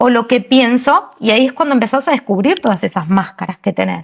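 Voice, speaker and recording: This woman speaks with a Rioplatense accent. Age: 40s. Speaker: podcast co-host. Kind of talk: casual chat.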